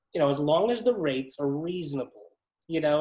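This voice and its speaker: An American accent marks this man's speech. He moves at a fairly quick pace. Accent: sounds American. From Ontario, Canada. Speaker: ESL business founder. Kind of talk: casual interview. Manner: rambling, filler-heavy.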